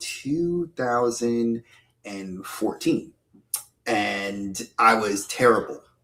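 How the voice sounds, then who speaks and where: With an American accent, a man speaks at a very slow pace. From New York (Bronx, Westchester County). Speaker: YouTuber, podcast guest. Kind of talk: casual interview.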